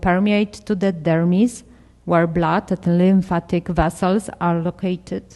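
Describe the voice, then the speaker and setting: The voice carries a Polish accent and a dark, mellow tone. Intonation stays fairly even. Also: woman. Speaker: dermatology researcher. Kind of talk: conference presentation. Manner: halting.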